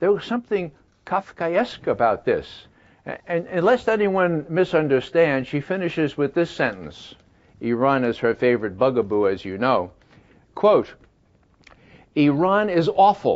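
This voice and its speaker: Pausing long and often, a man speaks at a moderate pace with fairly high pitch and very wide pitch swings. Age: 70s. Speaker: former CIA analyst, peace activist. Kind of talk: interview answer.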